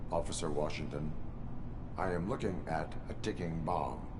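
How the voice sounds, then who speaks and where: A man's put-on character voice, very deep and low, at a moderate pace amid loud background noise. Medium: machinima. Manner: flat, monotone, clipped.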